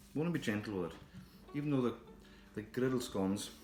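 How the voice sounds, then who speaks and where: With music in the background, the speaker uses ordinary pitch variation. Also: man. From Scotland. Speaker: chef. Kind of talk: cookery demonstration to camera.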